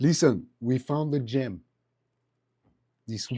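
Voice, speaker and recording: In a French accent, a man talks at a medium pitch with a dark, mellow tone. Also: ordinary pitch variation. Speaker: vlogger.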